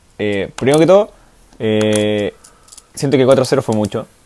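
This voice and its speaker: There is noticeable background noise as a man with a Chilean accent speaks at a fairly slow pace. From Chile, San Felipe. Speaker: football podcast co-host. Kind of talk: casual chat. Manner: animated.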